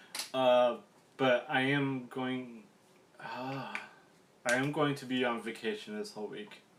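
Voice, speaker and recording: The speaker moves at a fairly slow pace with fairly even intonation and long, frequent pauses. Room echo can be heard. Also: man, medium pitch for a man. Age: 30s. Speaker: gaming YouTuber vlogger. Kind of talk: casual vlog monologue. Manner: hesitant, many fillers.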